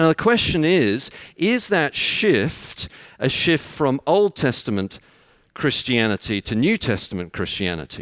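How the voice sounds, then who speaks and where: A man with a fairly high voice speaks at a fairly slow pace, with vocal fry and very wide pitch swings. The recording is very clean, dry and close, with no echo and a silent background. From London. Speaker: preacher. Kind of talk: sermon. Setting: church.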